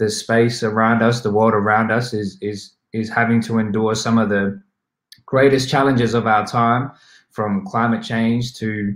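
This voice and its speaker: In an Australian accent, a man speaks fairly slowly with fairly even intonation, his voice carrying audible room echo over a quiet background. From South West Sydney, Australia. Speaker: hip hop artist and activist. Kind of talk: summit talk about his song. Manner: reflective, hesitant with frequent repetitions. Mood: calm, earnest, reflective. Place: home room.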